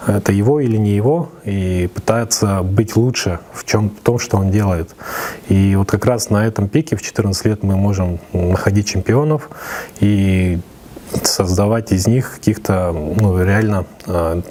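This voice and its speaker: A man speaks at a fairly low pitch and a fairly slow pace with ordinary pitch variation. Background noise is noticeable. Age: 30s. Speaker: esports federation chairman. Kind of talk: interview. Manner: hesitant, many fillers.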